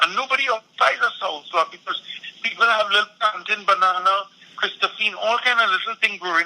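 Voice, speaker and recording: A man projects his voice at a raised level with a high pitch. Noticeable background noise is present. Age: 60s. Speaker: environmental activist. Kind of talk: political discussion.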